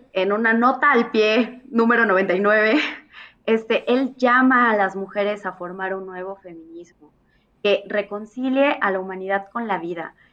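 A woman is speaking. Her pace is very slow. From Mexico, Irapuato, Guanajuato. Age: 20s. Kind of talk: casual interview chat.

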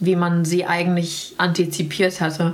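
Speaking at a fairly slow pace, a woman uses a fairly low pitch and a flat, monotone intonation. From Sauerland, western Germany. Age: 30s. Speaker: portrait photographer. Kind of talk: casual interview conversation. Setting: at her home.

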